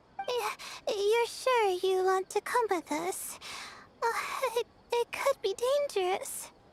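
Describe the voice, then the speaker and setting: A woman's squeaky, put-on character voice at extremely high pitch, with very even loudness and long, frequent pauses. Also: fairly slow pace, dry, close sound with no echo. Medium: video game. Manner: hesitant, stammering.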